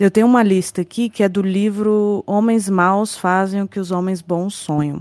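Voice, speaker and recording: An ordinary speaking voice from a woman at medium pitch and moderate pace, with fairly even intonation, hardly any pauses, and a dry, close sound with no echo. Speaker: true crime podcast host. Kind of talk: casual interview chat.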